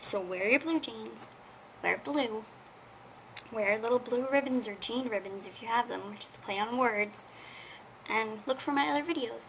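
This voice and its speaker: At a moderate pace, a woman with a fairly high pitch and ordinary pitch variation takes long, frequent pauses, her loudness swinging widely over light background noise. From Canada. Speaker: video blogger, rare disease advocate; awareness vlogger. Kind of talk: casual vlog, awareness message. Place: home room. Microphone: webcam.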